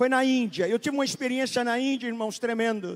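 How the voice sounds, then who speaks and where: Extremely high in pitch, a man speaks in an animated tone. The recording is very clean, with a silent background. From Brazil. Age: 70s. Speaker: pastor. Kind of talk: sermon. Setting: church.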